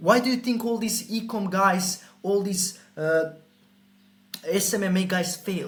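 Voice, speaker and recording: With a Croatian accent, a man speaks in a high pitch with ordinary pitch variation. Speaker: sales coach. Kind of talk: sales pitch. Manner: animated.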